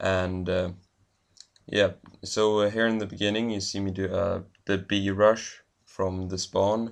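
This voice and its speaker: With a Swedish accent, a man speaks fairly slowly in a fairly low, monotone, flat voice. He leaves long, frequent pauses. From Sweden. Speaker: gaming commentator. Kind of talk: gameplay commentary. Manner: hesitant, many fillers.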